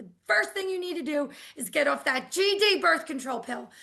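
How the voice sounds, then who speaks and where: A woman's raspy, put-on character voice, high in pitch, at a moderate pace, with very wide pitch swings and big swings in loudness. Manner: stern.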